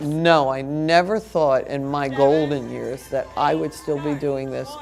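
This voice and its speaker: A woman's very deep, low voice at a very slow pace, with music in the background. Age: 70s. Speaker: dance director and choreographer. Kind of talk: interview and rehearsal instruction. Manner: loud.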